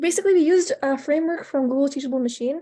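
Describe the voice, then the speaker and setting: At a fairly quick pace, a woman talks in a dark, mellow tone with ordinary pitch variation against a quiet background. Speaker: hackathon participant. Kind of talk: project presentation. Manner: stuttering, halting; casual, many fillers.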